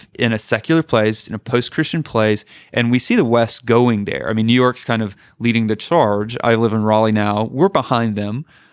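Recorded very cleanly with a silent background, a man speaks at a moderate pace in an unremarkable speaking voice of medium pitch. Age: 30s. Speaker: apologetics scholar and pastor. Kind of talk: casual interview.

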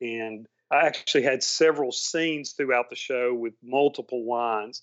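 A man talks in a Southern US accent. His pace is moderate and his intonation fairly even. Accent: Southern accent, returned after seminary. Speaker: actor and former seminary student. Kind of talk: casual chat.

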